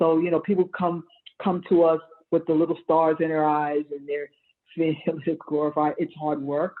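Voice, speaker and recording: Here a woman talks in a very deep, low voice. Her intonation is monotone and flat. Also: moderate pace. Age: 60s. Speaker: urban farmer and food justice activist. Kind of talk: panel discussion.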